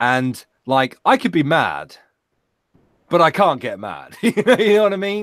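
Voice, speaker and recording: A man's high voice at a fairly slow pace, with very wide pitch swings and long, frequent pauses. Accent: British. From Britain. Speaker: YouTube reaction creator. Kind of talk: casual chat. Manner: animated.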